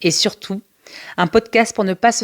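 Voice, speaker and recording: A woman with an ordinary speaking voice talks at a fairly slow pace with ordinary pitch variation, the sound dry and close with no echo in a very clean recording against a silent background. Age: 40s. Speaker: special education teacher and podcast host. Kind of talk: personal storytelling monologue. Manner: warm, conversational.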